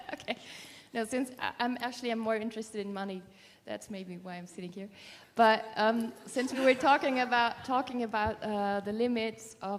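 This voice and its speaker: A woman with a non-native accent speaks at a fairly high pitch and fairly even intonation, her loudness showing big swings. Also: moderate pace. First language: not English. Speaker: workshop participant. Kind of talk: audience question. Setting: live workshop with audience. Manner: halting.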